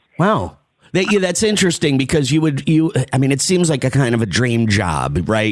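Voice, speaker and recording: Noticeable background noise accompanies a man of medium pitch who speaks with an American accent. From New Jersey, Summit area. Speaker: podcast and radio host. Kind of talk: interview chat.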